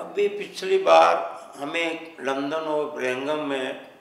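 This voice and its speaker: A man with a fairly high voice speaks over noticeable background noise, and the room's echo can be heard. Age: 70s. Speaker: philanthropist, charity founder. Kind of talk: interview.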